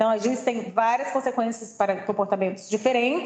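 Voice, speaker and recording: Fairly even intonation and a fairly high pitch mark this woman's voice, an ordinary speaking voice. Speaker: presenter at staff training session. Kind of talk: presentation.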